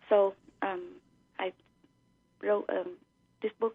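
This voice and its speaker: Speaking in a Vietnamese accent, a woman talks at a fairly slow pace with monotone, flat intonation. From Vietnam (Saigon). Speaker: author. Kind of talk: radio interview. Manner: halting, many fillers.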